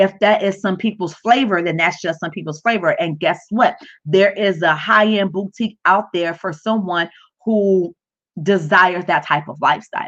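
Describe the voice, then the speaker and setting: A woman at a medium pitch and moderate pace, with ordinary pitch variation and a plain, everyday voice. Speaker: business coach livestreamer. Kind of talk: live stream tutorial. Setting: livestream from home.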